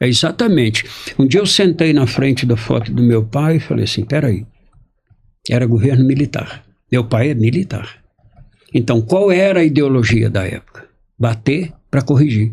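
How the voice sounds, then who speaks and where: The voice is somewhat breathy, with lively intonation. Long pauses come often. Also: man. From Brazil. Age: 60s. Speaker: journalist and family constellation facilitator. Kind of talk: interview storytelling.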